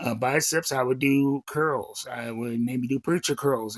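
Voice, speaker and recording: A man speaks fairly slowly at a medium pitch, with fairly even intonation. He has an ordinary speaking voice. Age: 40s. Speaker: chronic pain vlogger. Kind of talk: casual talk to camera.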